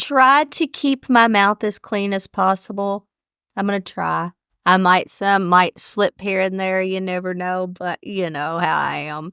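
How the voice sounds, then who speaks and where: A woman speaks at a fairly slow pace with ordinary pitch variation and a bright, sharp tone, in a very clean recording with a silent background and a dry, close sound with no echo. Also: medium pitch for a woman. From Kentucky. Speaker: podcast co-host. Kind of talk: casual chat. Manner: loud, carrying voice.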